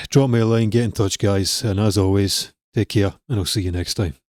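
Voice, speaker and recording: With a quiet background behind him, this man speaks in a fairly low voice. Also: dry sound with no echo. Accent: Scottish. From Scotland. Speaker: music production coach. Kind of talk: tutorial. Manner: casual. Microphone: studio mic.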